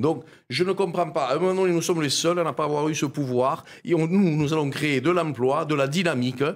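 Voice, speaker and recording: A man with an Aude accent talks at a fairly quick pace in a fairly high, animated voice with ordinary pitch variation. The loudness stays very even on a very clean recording with a silent background. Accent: southern French (Aude). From Aude, southern France. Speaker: parliamentary candidate. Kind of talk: political debate.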